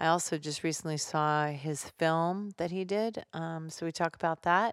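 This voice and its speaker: A woman with an American accent speaks at a fairly slow pace in an ordinary speaking voice, pitched fairly low. The recording is very clean, with a silent background. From New Jersey. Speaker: podcast host, actress and comedian. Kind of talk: casual chat; podcast intro and outro.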